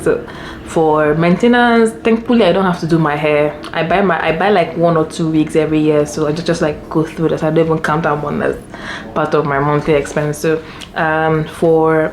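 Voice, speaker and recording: A woman's very deep, low-pitched voice over noticeable background noise. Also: ordinary pitch variation. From Nigeria. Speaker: lifestyle vlogger. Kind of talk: casual vlog talk. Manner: fast.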